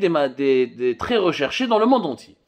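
The background stays quiet. A man's pitch swings very widely as he talks. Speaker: news commentator. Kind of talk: commentary. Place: office. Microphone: phone near.

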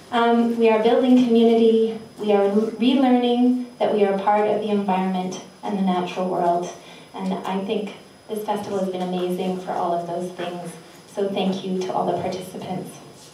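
Medium-pitched female speech at a moderate pace, with fairly even intonation, audible room echo and light background noise. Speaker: festival organizer and host. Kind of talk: event welcome and introductions. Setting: live venue with audience. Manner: warm, playful, laughing. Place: hall.

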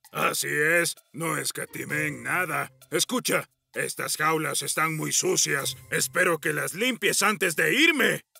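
A man's put-on character voice, fairly high-pitched, at a fairly slow pace with hardly any pauses, music in the background. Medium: machinima. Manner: bossy, confident.

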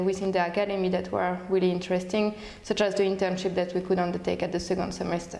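Audible room echo surrounds a woman speaking with monotone, flat intonation. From France. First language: French. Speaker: researcher and alumna. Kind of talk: testimonial interview. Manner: hesitant, many fillers. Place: office. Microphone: lapel.

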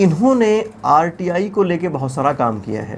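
Against light background noise, a man talks at a fairly slow pace with very wide pitch swings. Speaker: interview host. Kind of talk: documentary interviewer narration. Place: studio. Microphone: lapel.

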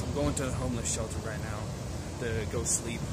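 With an American accent, a man talks at a moderate pace through loud background noise. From southwestern Pennsylvania. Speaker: vlogger. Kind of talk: casual vlog talk to camera. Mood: tired but friendly. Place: street. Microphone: phone near.

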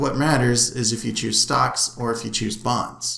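The room echo is audible. Through it, a man's speech keeps a moderate pace. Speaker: instructor. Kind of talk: lecture. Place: home room. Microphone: webcam.

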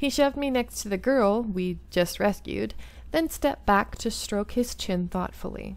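Lively intonation in plain reading aloud

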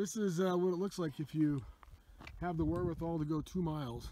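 Noticeable background noise surrounds a man whose dark, mellow tone comes through a dry sound with no echo. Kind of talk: casual vlog narration. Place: open country. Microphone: phone near.

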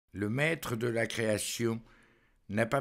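The speech is delivered in a solemn tone at a very slow pace. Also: man, very clean recording, silent background. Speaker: preacher. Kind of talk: homily. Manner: measured.

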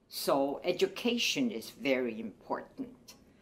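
A woman's very slow speech with very wide pitch swings, in a Chinese accent. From China. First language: Mandarin Chinese. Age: 80s. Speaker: retired professor and women's rights activist. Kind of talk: testimony. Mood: earnest, calm conviction. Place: home room.

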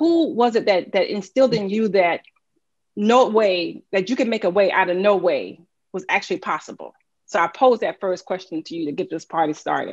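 Over a quiet background, a woman talks at a fairly quick pace with lively intonation and an American accent. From US South. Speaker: political strategist and moderator. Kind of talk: interview. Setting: video call. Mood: warm, engaged. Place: home room. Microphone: webcam.

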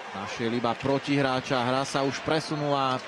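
Moderate-paced speech with noticeable noise behind it. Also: man. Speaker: sports commentator. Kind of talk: live ice hockey play-by-play commentary, voiced over highlights. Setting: commentary booth at the arena.

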